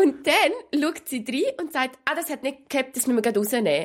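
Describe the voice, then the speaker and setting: Speaking at a moderate pace, a woman with a Swiss accent uses a high pitch and lively intonation. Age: 20s. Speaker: podcast co-host. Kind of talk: casual chat.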